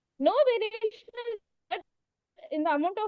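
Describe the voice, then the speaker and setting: The speaker is a woman. Her intonation is lively. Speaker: medical postgraduate student. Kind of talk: case presentation. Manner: too quiet. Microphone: far from the mic.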